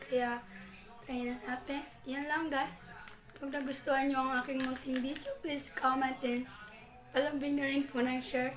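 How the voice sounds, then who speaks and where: Audible room echo surrounds a woman speaking at a moderate pace. Her voice is high-pitched, with fairly even intonation. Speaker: vlogger. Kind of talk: product review vlog. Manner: casual.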